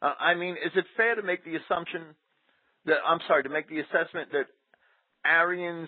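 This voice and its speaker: Speaking at a fairly quick pace, a man uses an unremarkable speaking voice with ordinary pitch variation. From New Jersey, Jersey City. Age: 40s. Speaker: radio co-host. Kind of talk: casual chat.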